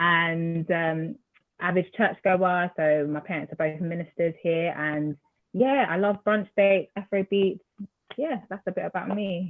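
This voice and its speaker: Fairly slow speech in an Essex accent from a woman with a fairly low pitch. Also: ordinary pitch variation. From Essex, England, Nigerian heritage. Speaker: graduate, panelist. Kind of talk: panel self-introduction.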